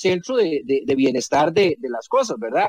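A man with a high voice talks at a moderate pace, recorded dry and close with no echo. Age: 40s. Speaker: technology expert and former science minister. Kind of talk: radio interview. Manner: halting, frequent repetitions and fillers.

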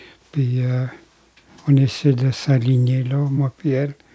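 A very slow, monotone voice with flat intonation comes through somewhat breathy, with a dark, mellow tone. The recording is dry and close, with no echo. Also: man. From Quebec, Grand Lac Victoria (Anishinabe). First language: Algonquin (Anishinabemowin) (speaking French). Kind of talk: testimony. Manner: halting.

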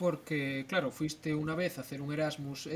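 Somewhat breathy and fairly high-pitched, a man talks at a moderate pace. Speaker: podcast co-host. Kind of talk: casual chat.

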